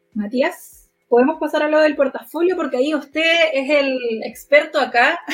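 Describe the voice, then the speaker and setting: Fairly slowly and with hardly any pauses, a woman speaks at a high pitch. Her intonation stays fairly even. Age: 20s. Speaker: podcast co-host, HR social worker. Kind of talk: casual chat.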